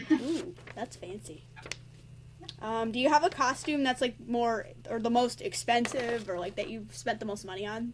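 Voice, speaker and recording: Lively intonation and big swings in loudness mark this voice with an American accent, heard over noticeable background noise. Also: woman, fairly high pitch for a woman, moderate pace. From New York / New Jersey area. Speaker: cosplay interviewer. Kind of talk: casual interview.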